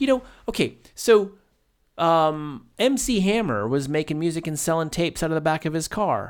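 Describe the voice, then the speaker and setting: High male pitch with very wide swings, a moderate pace, and a very clean recording with a silent background. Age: 40s. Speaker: podcast co-host. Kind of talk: casual chat. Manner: halting.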